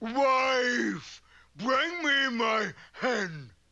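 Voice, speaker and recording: This is a cartoonish character voice. It sits at a fairly high pitch. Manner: blustering, slow-witted.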